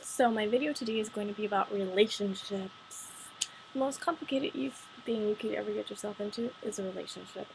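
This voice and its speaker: Against noticeable background noise, a woman speaks at a fairly quick pace in a fairly high voice. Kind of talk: casual talk to camera, partly read from notes. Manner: a bit monotone.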